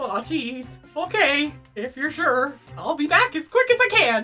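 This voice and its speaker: A woman's put-on character voice at a moderate pace, over faint background music. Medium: game stream. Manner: flustered, hesitant.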